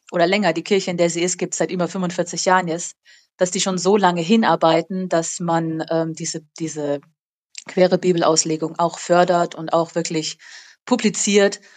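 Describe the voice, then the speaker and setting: Against a quiet background, a woman speaks at a moderate pace, her fairly low pitch held in a monotone, flat intonation. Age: 30s. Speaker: school teacher. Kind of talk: casual interview. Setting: remote call.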